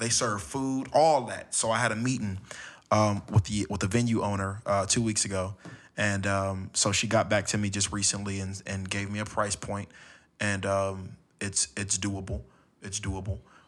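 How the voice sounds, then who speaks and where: At a moderate pace, a man in an American accent uses a plain, everyday voice, fairly low in pitch with fairly even intonation. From Los Angeles, California. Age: 20s. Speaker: spoken word poet. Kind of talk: casual chat. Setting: home studio.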